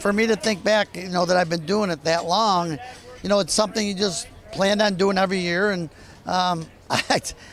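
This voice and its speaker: A man with an American accent, high pitch, ordinary pitch variation and a moderate pace broken by long, frequent pauses, over noticeable background noise. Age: 60s. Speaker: race car driver. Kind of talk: interview answer. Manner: hesitant, casual.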